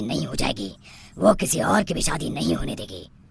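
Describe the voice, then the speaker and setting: A man puts on a cartoonish character voice. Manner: confident.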